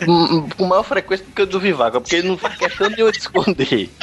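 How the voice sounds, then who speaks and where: A man talks very fast in a high pitch. Noticeable background noise runs behind him. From Recife, Brazil. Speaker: podcaster. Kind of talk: casual chat.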